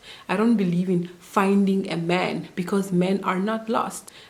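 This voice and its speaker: Over noticeable background noise and audible room echo, a woman with a medium-pitched voice talks at a fairly slow pace with fairly even intonation. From Namibia. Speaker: au pair vlogger. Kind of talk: casual vlog advice talk.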